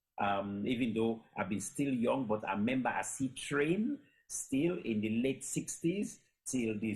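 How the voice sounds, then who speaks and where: At a moderate pace, a man with a Sierra Leonean accent speaks in a somewhat breathy voice with ordinary pitch variation. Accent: Sierra Leonean English with Krio. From Sierra Leone, Freetown. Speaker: storyteller. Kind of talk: panel discussion. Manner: halting, many fillers.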